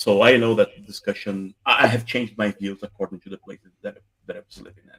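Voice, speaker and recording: Speaking with a Brazilian accent, a man talks at a very fast pace with big swings in loudness. The sound is dry and close, with no echo. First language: Portuguese. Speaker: debate panelist. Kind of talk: live panel discussion.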